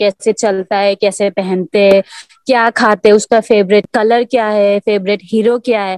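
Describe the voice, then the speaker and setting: This woman's voice sits at a fairly high pitch. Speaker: model and beginner actor. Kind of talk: question in online acting workshop.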